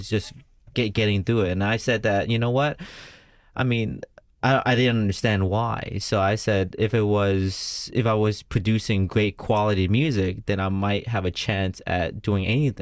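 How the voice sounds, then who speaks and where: On a very clean recording with a silent background, a man with a slight Vietnamese accent talks at a moderate pace in a fairly low pitch. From United States. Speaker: entrepreneur and former musician. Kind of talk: radio interview. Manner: halting.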